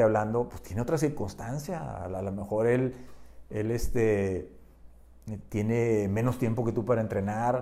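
A man speaks fairly slowly at a medium pitch with a dark, mellow tone. His intonation is fairly even, and room echo is audible. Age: 60s. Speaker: adventurer and photographer. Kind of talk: casual chat. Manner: halting.

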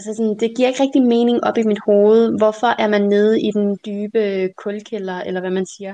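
A woman speaks in a normal speaking voice at a fairly high pitch and moderate pace, with fairly even intonation. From Denmark. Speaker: guest. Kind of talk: casual chat.

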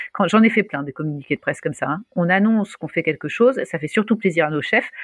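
Very fast and with ordinary pitch variation, a woman speaks in a medium pitch, with a dry, close sound and no echo. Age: 40s. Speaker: startup founder. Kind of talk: interview. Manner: animated.

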